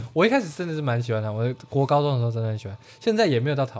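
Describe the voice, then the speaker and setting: Lively intonation at a very fast pace. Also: man. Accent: Taiwanese. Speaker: podcast co-host. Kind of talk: casual chat.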